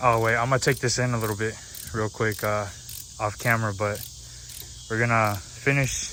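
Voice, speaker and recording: The intonation is fairly even, over noticeable background noise. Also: man. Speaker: car enthusiast vlogger. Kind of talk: casual vlog walkaround.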